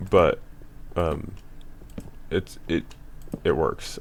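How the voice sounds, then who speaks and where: This man's voice sits very deep and low in pitch. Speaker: gaming video creator. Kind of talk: gameplay commentary. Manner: halting, many fillers; casual.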